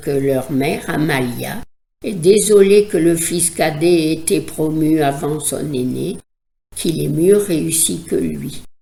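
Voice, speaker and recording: Speaking very slowly, a woman with a very deep, low voice and vocal fry has a dark, mellow tone and ordinary pitch variation. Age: old. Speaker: psychoanalyst. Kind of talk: educational podcast talk.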